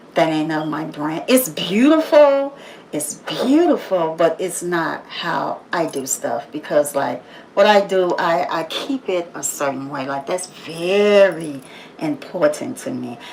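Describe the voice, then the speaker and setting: With noticeable background noise behind her, a woman speaks very slowly in a fairly low pitch, her intonation lively and her loudness swinging widely. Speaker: motivational livestreamer. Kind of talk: motivational monologue. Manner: loud and assertive.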